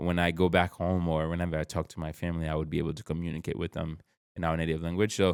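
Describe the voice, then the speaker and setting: With a Haitian accent, a man speaks very fast in a very deep, low voice with monotone, flat intonation, recorded very cleanly against a silent background. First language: Haitian Creole. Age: 30s. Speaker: podcast guest, author and powerlifter. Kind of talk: casual chat.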